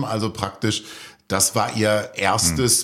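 A normal speaking voice from a man, fairly slow in pace and fairly even in intonation. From Lower Rhine, Germany. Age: 50s. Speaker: author. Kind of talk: radio interview. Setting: studio.

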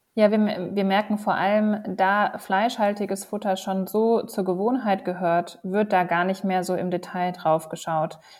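A woman's unremarkable speaking voice at medium pitch, fairly slow, with fairly even intonation and hardly any pauses. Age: 30s. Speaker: company co-founder. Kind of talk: interview.

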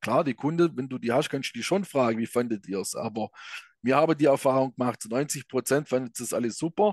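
A man with a southwest German accent talks at a fairly quick pace and medium pitch with ordinary pitch variation, in a dry, close sound with no echo against a quiet background. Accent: regional southwest German dialect. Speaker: escape room operator. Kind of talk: interview.

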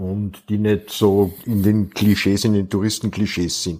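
A man with a normal speaking voice and a fairly low pitch talks at a fairly slow pace over a very clean, silent background. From Austria. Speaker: crime novelist. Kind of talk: casual chat.

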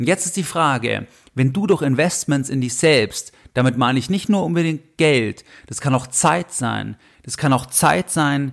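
Vocal fry runs through this very slow delivery with ordinary pitch variation, recorded very cleanly over a silent background. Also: man. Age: 30s. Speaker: finance podcast host. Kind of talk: solo podcast monologue.

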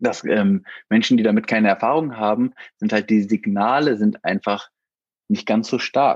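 Recorded with a dry, close sound and no echo, a man talks at a moderate pace with very even loudness. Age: 40s. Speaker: father of a child with Down syndrome, IT manager. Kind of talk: interview. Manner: halting, many filler words.

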